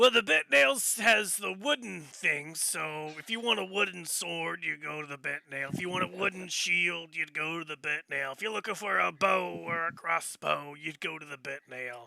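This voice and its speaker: Doing a put-on character voice, a man speaks raspily in a high pitch with ordinary variation, hardly any pauses and big swings in loudness. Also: moderate pace. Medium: actual play. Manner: rambling, folksy.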